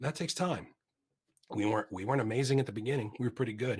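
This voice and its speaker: This man speaks at a very fast pace in an animated tone. His voice is somewhat breathy. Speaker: agile coach, conference speaker. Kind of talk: conference talk with Q&A.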